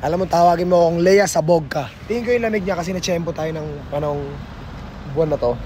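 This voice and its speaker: Over noticeable background noise and audible room echo, a man talks at a very fast pace in a high pitch with ordinary pitch variation. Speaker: vlogger. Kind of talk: travel vlog, casual chat.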